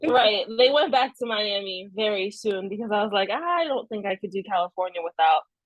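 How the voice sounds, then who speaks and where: A woman with a Haitian accent. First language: Haitian Creole. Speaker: novelist. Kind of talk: casual interview chat.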